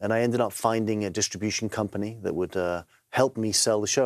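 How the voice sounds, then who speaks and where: With an English accent, a man talks at a fairly quick pace, medium in pitch with ordinary pitch variation. The recording is very clean with a silent background, and the sound is dry and close with no echo. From England. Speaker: TV presenter and author. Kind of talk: interview. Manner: halting, repeats words.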